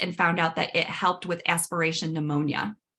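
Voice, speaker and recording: A woman speaks at a fairly quick pace with a fairly low pitch. Her tone is bright and sharp. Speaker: dental hygienist and myofunctional therapist. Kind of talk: webinar workshop presentation. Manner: fast.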